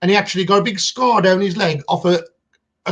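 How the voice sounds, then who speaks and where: Here a man talks very fast in a high voice. His intonation stays fairly even. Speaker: metal detecting channel co-host. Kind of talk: casual live stream chat. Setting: live stream.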